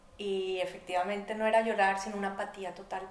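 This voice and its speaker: At a moderate pace, a speaker with a Bogotá accent talks in a monotone, flat way, with audible room echo and noticeable background noise. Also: woman. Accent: Bogotá Colombian Spanish. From Colombia, Bogotá. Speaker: artist and economist. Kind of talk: interview conversation.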